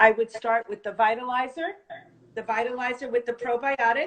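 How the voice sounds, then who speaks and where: In a New Jersey accent, a woman speaks at a moderate pace with fairly even intonation. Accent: New Jersey American. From North Jersey, US. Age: 50s. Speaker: supplement distributor. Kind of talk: product presentation.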